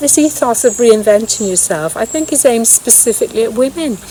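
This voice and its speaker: With a British accent, a woman speaks at a moderate pace with lively intonation. Noticeable background noise can be heard. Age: 60s. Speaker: vlogger. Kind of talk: casual vlog monologue. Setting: outdoors in woods.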